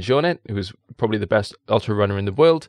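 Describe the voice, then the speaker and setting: Against a quiet background, a man in a South Wales accent is heard with a dry, close sound with no echo. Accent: South Wales Valleys. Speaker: science communicator and presenter. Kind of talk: casual interview chat. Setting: studio in Wales.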